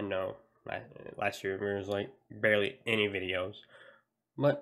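A man speaks at a moderate pace, and the background stays quiet. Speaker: gaming video creator. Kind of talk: casual vlog chat. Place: home room. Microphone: headset.

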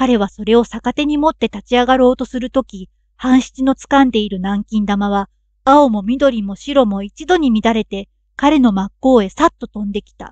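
A woman with a normal speaking voice, fairly high in pitch, at a moderate pace with ordinary pitch variation and big swings in loudness, in a dry, close sound with no echo. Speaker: narrator. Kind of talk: audiobook reading of a classic story. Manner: calm, sleep-inducing.

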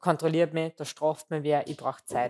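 A woman speaks with a fairly low pitch at a moderate pace. Hers is an unremarkable speaking voice. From Austria, southern Waldviertel (Lower Austria); Lower Austria. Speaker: food marketing executive; interview guest. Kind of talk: interview. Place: studio. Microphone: headset.

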